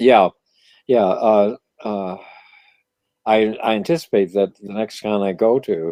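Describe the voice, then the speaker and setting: With an American accent and a dark, mellow tone, a man speaks at a fairly slow pace with long, frequent pauses and ordinary pitch variation, in a dry, close sound with no echo. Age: 70s. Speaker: comic book writer. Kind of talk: casual chat. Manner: halting.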